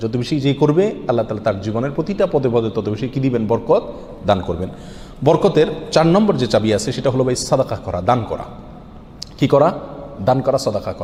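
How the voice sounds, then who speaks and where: Very wide pitch swings run through the voice over noticeable background noise. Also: man, medium pitch for a man. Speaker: Islamic preacher. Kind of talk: Islamic sermon (waz).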